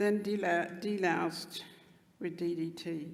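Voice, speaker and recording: A woman's fairly low voice with fairly even intonation and audible room echo. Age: 80s+. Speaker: Stolen Generations survivor. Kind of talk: speech at commemoration. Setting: stage with audience.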